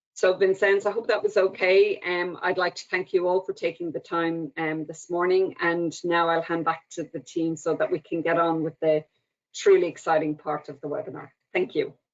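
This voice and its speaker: A woman's fairly low voice with an Irish accent, monotone and flat in intonation, at a moderate pace. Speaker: government agency official. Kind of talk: opening speech. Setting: webinar.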